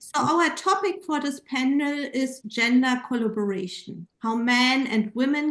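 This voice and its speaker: A woman speaks with a German accent, her high voice rising and falling in a lively way. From Germany. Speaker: panel moderator and gender researcher. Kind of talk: panel moderation.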